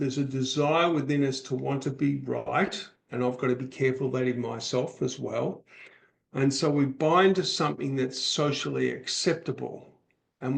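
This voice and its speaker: A man talks at a moderate pace with ordinary pitch variation. He has a plain, everyday voice with a medium pitch. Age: 60s. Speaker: author and public speaker, podcast guest. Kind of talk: podcast interview conversation.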